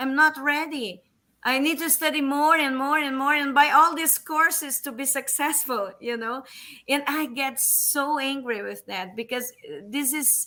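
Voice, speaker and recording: On a very clean recording with a silent background, a woman with a Portuguese accent uses a raised, projected voice at a high pitch, with a bright, sharp tone, a fairly slow pace, ordinary pitch variation and big swings in loudness. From Brazil. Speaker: English teacher. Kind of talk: casual chat. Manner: hesitant, many fillers.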